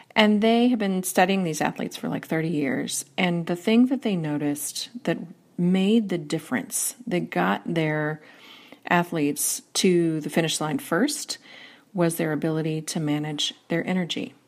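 On a very clean recording with a silent background, a woman with an unremarkable speaking voice talks at a moderate pace, fairly low in pitch, with lively intonation. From US Northeast. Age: 40s. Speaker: workplace strategist and author. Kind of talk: interview.

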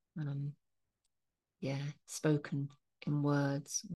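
A woman's very deep, low voice against a quiet background. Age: 60s. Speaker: spiritual practitioner and podcast host. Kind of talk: solo podcast monologue with spoken-word poetry reading. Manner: reflective, slow, contemplative; warm, sincere, heartfelt.

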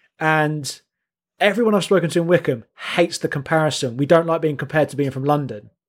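A man with a southern English accent, fairly high in pitch with ordinary variation, at a very fast pace. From southern England. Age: 30s. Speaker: podcast co-host. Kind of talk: casual chat. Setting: video call. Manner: halting.

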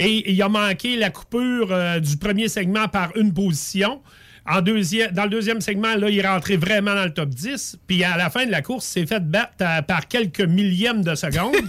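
The pace here is moderate, with ordinary pitch variation. The recording is very clean, with a silent background. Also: man, high pitch for a man. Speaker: racing series promoter. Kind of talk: radio interview.

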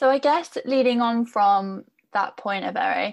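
An unremarkable speaking voice with ordinary pitch variation at a moderate pace, over a quiet background. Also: woman. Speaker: podcast host and editor. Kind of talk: moderated panel discussion.

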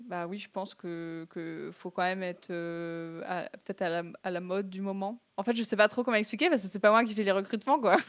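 This woman talks at a fairly quick pace in a medium pitch, with ordinary pitch variation and big swings in loudness. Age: 20s. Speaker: esports student and streamer. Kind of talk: interview. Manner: casual, slangy with hesitations.

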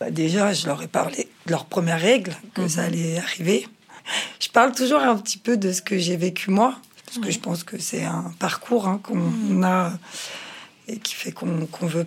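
A woman's fairly low voice moves at a moderate pace with ordinary pitch variation, noticeable background noise behind it. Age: 40s. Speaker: mother of teenagers. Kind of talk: consultation interview.

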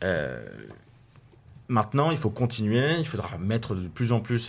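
A man with a fairly low voice. He speaks at a fairly slow pace. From Paris region, France. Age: 20s. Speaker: young politician. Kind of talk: radio interview. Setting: studio. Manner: halting.

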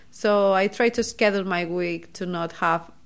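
A woman with a Catalan accent speaks at a fairly slow pace with fairly even intonation on a very clean recording with a silent background. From Spain, Barcelona. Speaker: PhD student in cancer biology. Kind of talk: casual interview.

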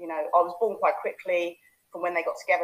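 A woman speaks with a London accent. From East London (Hackney). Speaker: life coach. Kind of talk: casual chat; guided visualisation demo.

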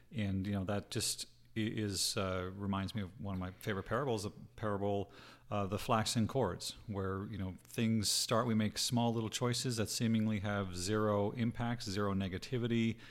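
A man's normal speaking voice, fairly low in pitch, at a moderate pace with fairly even intonation, on a very clean recording with a silent background. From Canada. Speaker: podcast co-host. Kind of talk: casual chat.

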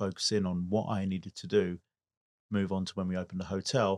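A man with an English accent talks at a fairly quick pace in a fairly low, monotone, flat voice, recorded very cleanly with a silent background and a dry, close sound with no echo. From England. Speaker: business owner and car event organiser. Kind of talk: interview.

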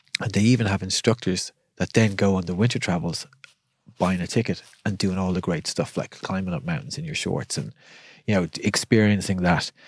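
This man has a Dublin accent and a very deep, low pitch with ordinary variation. He talks at a fairly quick pace in a very clean recording with a silent background. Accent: Irish (Dublin). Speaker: breathwork instructor. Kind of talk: casual chat. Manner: calm.

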